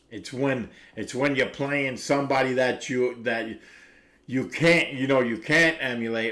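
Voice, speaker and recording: A man with a Brooklyn accent speaks at a medium pitch and a fairly slow pace. His intonation is fairly even. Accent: New York (Brooklyn). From Brooklyn, New York. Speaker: recovery livestreamer. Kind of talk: casual chat. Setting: live stream. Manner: halting.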